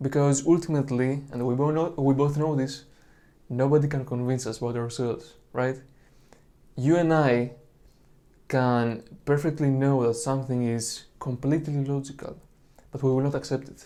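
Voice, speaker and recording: A man with a Greek accent speaks in a monotone, flat intonation at medium pitch, with a dark, mellow tone and long, frequent pauses. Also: moderate pace. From Greece. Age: 20s. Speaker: religious video creator. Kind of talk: monologue lecture on apologetics.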